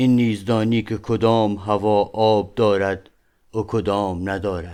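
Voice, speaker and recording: A man talks at a fairly slow pace with a dark, mellow tone and fairly low pitch. His intonation stays monotone and flat over a quiet background. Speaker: audiobook narrator. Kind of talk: reading aloud. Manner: formal.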